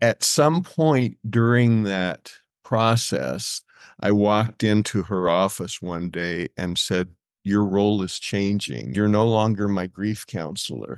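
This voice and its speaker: Over a quiet background, a man with an American accent speaks at a very slow pace and a fairly low pitch, with lively intonation. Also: dry, close sound with no echo. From New Mexico, US Southwest. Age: 70s. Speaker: former professional musician. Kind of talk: casual interview.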